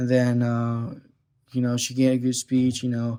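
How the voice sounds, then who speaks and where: A man's medium-pitched voice, dark and mellow in tone, flat and monotone in intonation, at a moderate pace. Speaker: video blogger reviewing TV show. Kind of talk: casual solo commentary. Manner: hesitant, many fillers.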